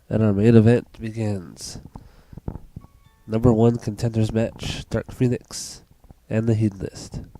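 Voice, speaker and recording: With music in the background, a man speaks at a medium pitch in a monotone, flat intonation, leaving long, frequent pauses. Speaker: backyard wrestling commentator. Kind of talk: play-by-play sports commentary.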